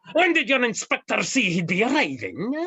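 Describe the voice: A woman performs a put-on character voice at medium pitch, bright and sharp with a slightly husky edge. Her pitch swings very widely as she keeps a moderate pace.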